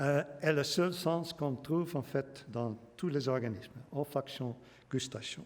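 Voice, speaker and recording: The man's voice sits at a fairly high pitch with ordinary pitch variation, and he goes at a very slow pace. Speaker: biology professor giving public lecture. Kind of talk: lecture. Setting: lecture hall with audience. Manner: halting, many hesitations.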